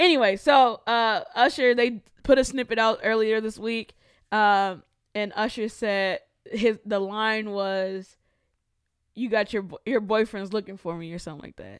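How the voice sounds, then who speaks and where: A woman's ordinary speaking voice, fairly high in pitch, with ordinary pitch variation, a fairly slow pace and big swings in loudness. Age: 20s. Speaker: podcast host. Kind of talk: casual chat.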